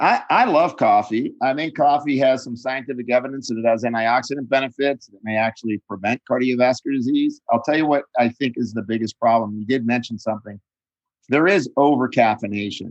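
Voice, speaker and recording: An unremarkable speaking voice from a man at medium pitch, fairly even in intonation and fairly quick. The sound is dry and close with no echo, and the loudness swings widely. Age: 60s. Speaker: nutritionist and author. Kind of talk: interview.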